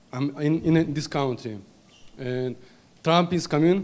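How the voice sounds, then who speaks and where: With audible room echo, a man's fairly high voice moves at a fairly slow pace and fairly even intonation. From Kabardino-Balkaria, Russia. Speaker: audience member. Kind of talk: audience question. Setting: conference with audience. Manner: halting.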